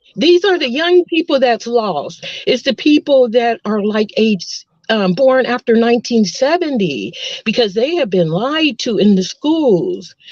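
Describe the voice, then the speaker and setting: A woman with an American accent speaks fairly slowly. Her high pitch swings very widely. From Texas. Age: 60s. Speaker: nurse. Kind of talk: casual chat. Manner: halting.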